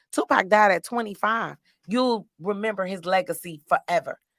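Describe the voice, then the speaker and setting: With an animated tone, a woman speaks at a moderate pace and ordinary pitch variation. The sound is dry and close with no echo, and the recording is very clean over a silent background. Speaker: podcast host and comedian. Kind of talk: casual chat.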